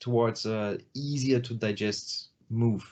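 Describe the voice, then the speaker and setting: A man's medium-pitched voice with a non-native accent, a dark, mellow tone and fairly even intonation. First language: not English. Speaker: metal band vocalist. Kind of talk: interview. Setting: video call. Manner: halting, many fillers.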